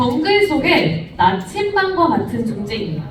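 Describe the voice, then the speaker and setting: Fairly slow, animated speech with very wide pitch swings, audible room echo and noticeable background noise. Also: woman. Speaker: youth group teacher. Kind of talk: sermon. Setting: church.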